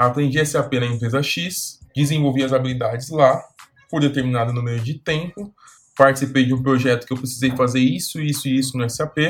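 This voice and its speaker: A man talks at a fairly quick pace and medium pitch, with fairly even intonation. It is a plain, everyday voice. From Brazil, São Paulo. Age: 20s. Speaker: career coach youtuber. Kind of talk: video tutorial.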